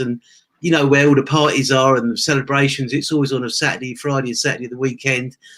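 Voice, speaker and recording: Very fast and monotone, a man speaks at medium pitch with flat intonation in an English accent. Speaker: former taxi driver, online entrepreneur. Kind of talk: interview testimony.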